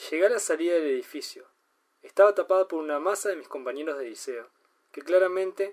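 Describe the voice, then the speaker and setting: With a Uruguayan accent, a man speaks at a moderate pace in a high voice. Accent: Uruguayan Rioplatense Spanish. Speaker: podcast host and amateur fiction writer. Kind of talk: reading aloud own short story.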